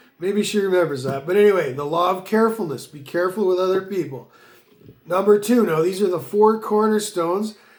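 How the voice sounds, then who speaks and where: A man talks at a fairly quick pace in a high voice. His pitch variation is ordinary. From Canada. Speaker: business consultant. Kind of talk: motivational monologue. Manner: fast.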